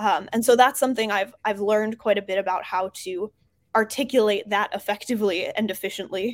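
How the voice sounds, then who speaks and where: A woman speaks fairly quickly with an American accent, in a plain, everyday voice. Her pitch is medium and her intonation fairly even. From New Jersey. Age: 20s. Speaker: startup founder. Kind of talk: interview.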